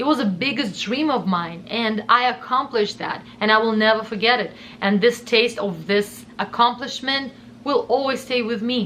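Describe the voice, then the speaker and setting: A woman with a Russian accent, fairly high-pitched, at a moderate pace, animated in tone, with ordinary pitch variation. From southern Russia. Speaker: YouTuber. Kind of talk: personal storytime monologue.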